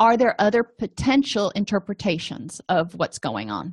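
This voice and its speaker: A woman speaks at a moderate pace in a somewhat breathy voice, her pitch swinging very widely, with a dry, close sound, no echo and a quiet background. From US, Italian-American family. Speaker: therapist / counselor. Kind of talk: educational lecture.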